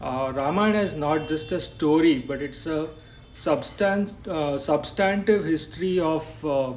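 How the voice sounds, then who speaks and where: Speaking at a fairly slow pace, a man has a fairly high pitch and ordinary pitch variation. The recording has audible room echo and noticeable background noise. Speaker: podcast host. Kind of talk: podcast interview intro. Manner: halting.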